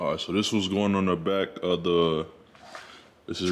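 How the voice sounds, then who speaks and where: A man's very deep, low voice in a relaxed tone, monotone and flat, at a moderate pace, with audible room echo. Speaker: car vlogger. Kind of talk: casual vlog tutorial. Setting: home garage. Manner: relaxed, casual.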